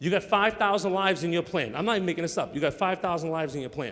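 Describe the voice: This man has a high pitch and a fairly bright tone. He talks at a fairly quick pace.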